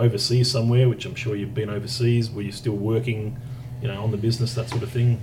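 A man with an Australian accent, a medium pitch, monotone, flat intonation and a fairly quick pace, over noticeable background noise. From Tasmania, Australia. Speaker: podcast host. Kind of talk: casual interview. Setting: in person.

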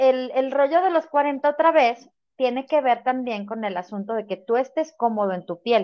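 Lively intonation marks this fairly slow speech in a Mexican accent. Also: woman. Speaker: podcast co-host. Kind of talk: casual chat.

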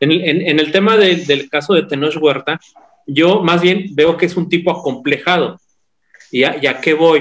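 A man with a plain, everyday voice, fairly high in pitch, fairly slow, with fairly even intonation and very even loudness. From Mexico, San Luis Potosí. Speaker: podcast guest. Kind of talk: casual chat.

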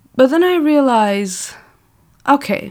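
A woman's very slow speech with lively intonation and a non-native accent. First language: not English. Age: 20s. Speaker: podcaster. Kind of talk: casual monologue. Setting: home recording. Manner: animated.

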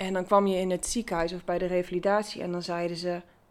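The woman's voice sits at a medium pitch. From Netherlands, Achterhoek (Gaanderen). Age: 30s. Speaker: brain injury survivor. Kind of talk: interview. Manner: halting.

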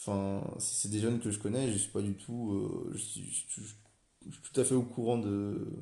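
Audible room echo surrounds a man speaking fairly slowly at a fairly low pitch, with fairly even intonation and big swings in loudness. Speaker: business school student. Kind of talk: solo podcast monologue. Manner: hesitant, many fillers and repetitions.

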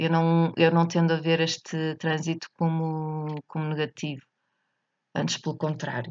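In a European Portuguese accent, a woman speaks fairly slowly with a very deep, low pitch and monotone, flat intonation. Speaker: astrology podcaster. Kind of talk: solo monologue reflection. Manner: halting, many fillers.

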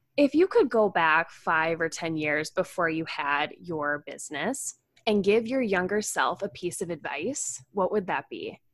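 A woman's unremarkable speaking voice at medium pitch, fairly slow pace, hardly any pauses, lively intonation, very clean recording with a silent background. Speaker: podcast host, health coach. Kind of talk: interview, casual chat.

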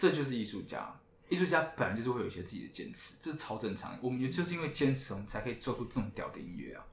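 A somewhat breathy man at medium pitch, very fast, with big swings in loudness and audible room echo. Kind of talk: casual chat. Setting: live podcast with band guests.

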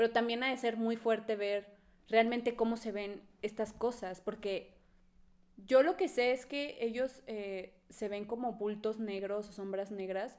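A woman talks in an unremarkable speaking voice. Her pace is fairly slow, and her intonation stays fairly even. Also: fairly high pitch for a woman. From Mexico, Monterrey. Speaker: podcast co-host. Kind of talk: casual chat.

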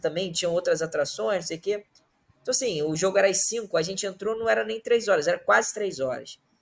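He speaks at a high pitch. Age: 30s. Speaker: football fan guest. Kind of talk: casual chat.

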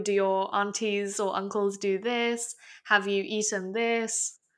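A woman with an English accent at a fairly slow pace, her intonation monotone and flat, on a very clean recording with a silent background. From Hong Kong. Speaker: podcast co-host. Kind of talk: casual discussion.

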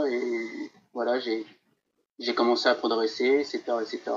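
The speaker is a man. He talks at a moderate pace. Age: 30s. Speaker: football statistics social media account owner. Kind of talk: interview.

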